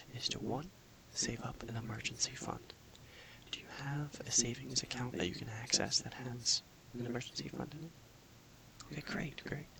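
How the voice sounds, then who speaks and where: A man's calm whisper at a moderate pace, with noticeable background noise. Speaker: personal finance counselor (role-play). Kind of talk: ASMR role-play, soft-spoken counseling session. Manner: soft-spoken, calm, explanatory.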